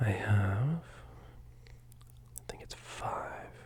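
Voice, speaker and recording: Someone whispers over noticeable background noise. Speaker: ASMR streamer reading horror stories. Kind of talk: ASMR story reading. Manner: soft-spoken, casual.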